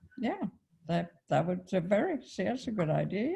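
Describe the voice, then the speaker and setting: A woman with a British accent speaks at a moderate pace, her fairly low voice dark and mellow with vocal fry. The recording is very clean, with a silent background. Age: 80s+. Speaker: guest speaker. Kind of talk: casual chat.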